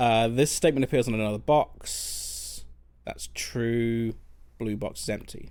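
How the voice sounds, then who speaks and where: A man with a London accent talks at a fairly slow pace. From London, England. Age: 30s. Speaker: game streamer. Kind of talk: casual chat. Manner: halting.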